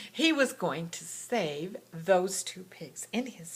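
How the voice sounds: Here a natural reading voice moves with lively intonation.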